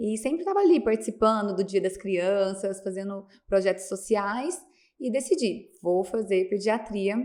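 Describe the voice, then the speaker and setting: The woman has an unremarkable speaking voice at a medium pitch. She speaks fairly slowly, and the recording is very clean with a silent background. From Minas Gerais, Brazil (Piuí). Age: 30s. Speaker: pediatrician. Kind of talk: podcast interview.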